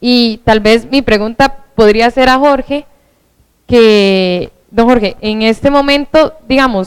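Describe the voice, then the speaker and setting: With a Costa Rican accent, a woman speaks at a very slow pace and fairly high pitch, her loudness very even. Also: ordinary pitch variation. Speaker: environmental activist and student. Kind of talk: public forum question. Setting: hall with audience.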